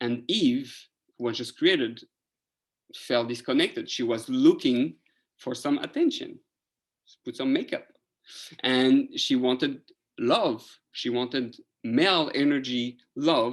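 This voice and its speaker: Speaking with a French accent, a man goes at a fairly slow pace, with long, frequent pauses. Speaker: rabbi teaching Torah class. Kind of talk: lecture.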